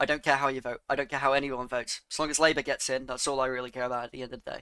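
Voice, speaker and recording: Bright and sharp in tone, a man's fairly high voice speaks at a very fast pace in a flat monotone, with a dry, close sound with no echo, in a very clean recording with a silent background. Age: 20s. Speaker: political commentator. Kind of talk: reaction commentary.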